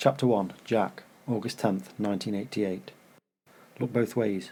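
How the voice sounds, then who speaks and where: With a dark, mellow tone and fairly low pitch, a man talks at a fairly quick pace with ordinary pitch variation. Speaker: author reading own book. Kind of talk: reading aloud; casual intro. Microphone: cheap microphone.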